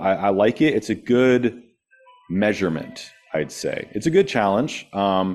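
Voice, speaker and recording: With music in the background, a man speaks in a Californian accent at a fairly slow pace with ordinary pitch variation. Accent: General American, California. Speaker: thriller author, guest speaker. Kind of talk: presentation Q&A. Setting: meeting room with live and Zoom audience. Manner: casual, conversational.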